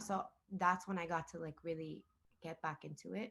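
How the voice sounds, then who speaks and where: With a Spanish accent, a woman talks at a moderate pace. Her fairly low voice keeps a fairly even intonation. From Miami. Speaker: singer-songwriter. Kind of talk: interview. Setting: video call. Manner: casual, code-switching Spanglish.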